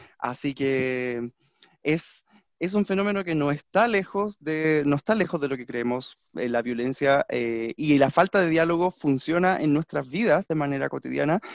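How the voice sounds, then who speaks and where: This is a plain, everyday voice with lively intonation at a fairly slow pace. The sound is dry and close with no echo, and the background is quiet. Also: man, fairly high pitch for a man. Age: 30s. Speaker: language teacher, podcast co-host. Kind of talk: casual discussion.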